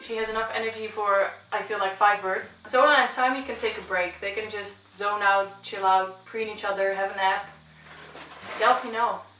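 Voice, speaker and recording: Speaking at a moderate pace with a non-native accent, a woman with a medium pitch keeps a flat, monotone intonation amid noticeable background noise and audible room echo. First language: not English. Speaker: pet bird owner vlogger. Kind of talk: casual Q&A vlog.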